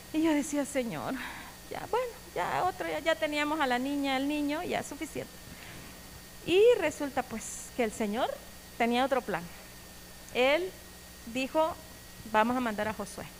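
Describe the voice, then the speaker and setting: A loud woman with a high pitch and lively intonation speaks with long, frequent pauses. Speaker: church member giving testimony. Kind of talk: testimony sermon.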